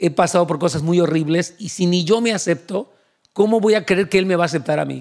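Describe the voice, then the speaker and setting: A man's high-pitched voice, fairly quick in pace, with ordinary pitch variation, in a very clean recording with a silent background. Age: 60s. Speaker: pastor. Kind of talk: sermon.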